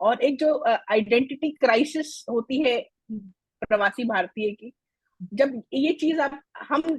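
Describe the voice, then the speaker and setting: The voice has ordinary pitch variation, with a dry, close sound and no echo. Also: woman. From India, raised in Delhi, family from Mithila (Bihar). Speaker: Hindi language foundation founder, former banker. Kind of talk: interview.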